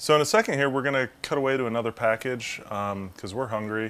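A man talks at a very fast pace, his pitch shifting in an ordinary way. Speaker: video producer and show host; show host. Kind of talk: casual chat. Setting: outdoors.

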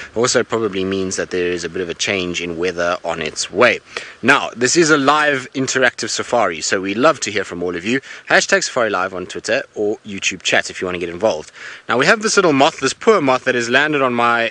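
A man rushes at a very fast pace with very wide pitch swings, in a dry sound with no echo. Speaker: safari guide. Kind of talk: live broadcast commentary. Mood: enthusiastic, curious. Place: car.

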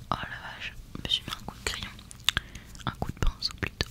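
Whispering, the woman keeps a moderate pace. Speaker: vlogger. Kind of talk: casual vlog chat, soft close talk. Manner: soft close-mic ASMR murmur. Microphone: studio mic.

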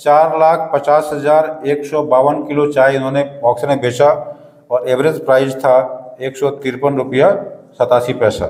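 Here a man is speaking. His pace is fairly slow. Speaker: tea business teacher. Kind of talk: lecture. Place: studio. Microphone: lapel.

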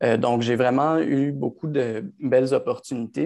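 A man speaks at a medium pitch and a moderate pace, his tone dark and mellow. His intonation is fairly even over a quiet background. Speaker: optometrist; panelist. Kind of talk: panel discussion. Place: home room. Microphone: earbuds.

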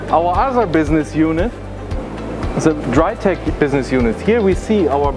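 A man speaks over clear music in the background. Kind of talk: product presentation. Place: hall.

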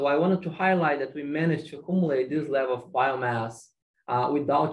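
A man speaks in a somewhat breathy voice. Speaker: agronomy PhD student. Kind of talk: research presentation. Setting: video call. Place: office. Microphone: webcam.

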